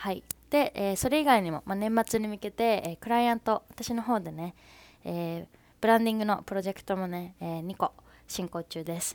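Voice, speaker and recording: Recorded very cleanly with a silent background, a woman speaks in a plain, everyday voice. Her pace is fairly quick, with ordinary pitch variation. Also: medium pitch for a woman. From Fukuoka, Japan. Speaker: podcaster, freelance designer. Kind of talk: casual solo podcast monologue. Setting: home laundry room, makeshift studio. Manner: casual, chatty, conversational.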